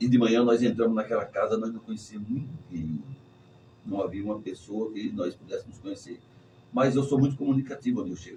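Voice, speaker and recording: A man talks at a fairly quick pace in a somewhat breathy, dark, mellow voice of medium pitch. His loudness swings a lot, while his pitch varies in an ordinary way. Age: 60s. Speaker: pastor. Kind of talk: sermon-style testimony in church talk.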